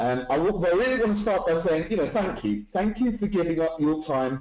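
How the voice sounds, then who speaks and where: A man with a British accent talks at a fairly quick pace with hardly any pauses. His fairly high voice swings very widely in pitch while his loudness stays very even. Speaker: webinar presenter, online marketer. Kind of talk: live webinar sales presentation. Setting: live online webinar. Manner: fast; animated.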